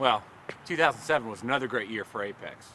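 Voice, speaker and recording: A male voice races along very fast, with light noise in the background. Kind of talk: corporate video talk to camera.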